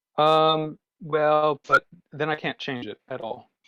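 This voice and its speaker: Over a quiet background, a man with a fairly high pitch speaks in a dry, close sound with no echo. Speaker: programming workshop leader. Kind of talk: tutorial. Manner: fast.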